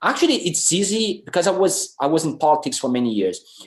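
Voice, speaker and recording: With very wide pitch swings, a man in a Brazilian Portuguese accent talks at a moderate pace against a quiet background. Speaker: film director. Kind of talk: panel discussion. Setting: video call. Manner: halting.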